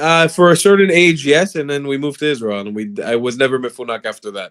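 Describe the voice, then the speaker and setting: Talking at a very fast pace, a man with a South Florida accent uses a fairly high pitch, lively intonation, an animated tone and big swings in loudness. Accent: American English, South Florida. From South Florida, US. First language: Hebrew. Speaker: political commentator. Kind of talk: casual debate on livestream.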